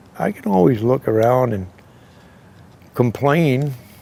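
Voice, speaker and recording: A man talks with an American accent. Noticeable background noise can be heard. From New Hampshire, US (Keene). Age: 60s. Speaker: retired machine company worker. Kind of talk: interview, personal storytelling. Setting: outdoors, in a driveway.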